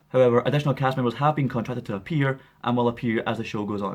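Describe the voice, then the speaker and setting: A man's very fast speech in a Scottish accent. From Scotland. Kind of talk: casual news commentary to camera.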